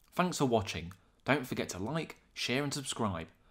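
A man talks at a moderate pace. His medium pitch swings very widely. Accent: British. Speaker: wildlife video narrator. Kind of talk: scripted nature documentary narration of fish facts, read steadily. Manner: measured, even and informative; formal, clear and matter-of-fact.

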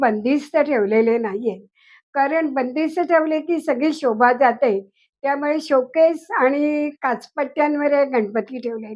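Pitched high with ordinary pitch variation, a woman's voice carries the clip. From Pune, Maharashtra. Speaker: Ganesh idol collector and writer. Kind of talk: home tour testimony.

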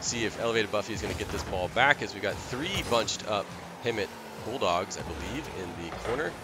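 Over noticeable background noise, a man with a medium pitch speaks at a fairly quick pace with lively intonation. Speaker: esports play-by-play caster. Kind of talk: live esports play-by-play commentary. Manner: animated, reactive, with bursts of excitement and laughter; rapid, fluid play-calling that keeps pace with the action.

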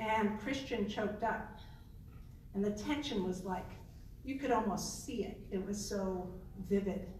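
A woman's medium-pitched voice at a fairly slow pace, with long, frequent pauses, ordinary pitch variation and noticeable background noise. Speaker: professor. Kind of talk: panel presentation. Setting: stage with audience.

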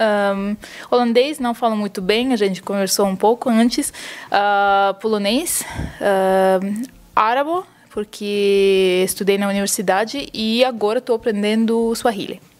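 A woman speaks with a Russian accent. Her pace is fairly slow and her intonation fairly even. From Ukraine, Russian. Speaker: polyglot. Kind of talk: interview. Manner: halting. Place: home room.

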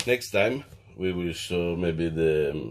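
Pitched low, a man speaks in a fairly bright tone.

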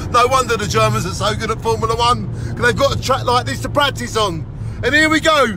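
The sound is dry with no echo. A man talks over noticeable background noise. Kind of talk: casual vlog chat. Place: car. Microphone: phone near.

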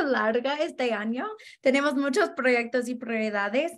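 Here a woman speaks with a high pitch. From Denver, Colorado, US; Colorado. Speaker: housing organizer; guest. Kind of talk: interview. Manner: halting, frequent um fillers. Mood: earnest, friendly. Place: home room. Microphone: video call.

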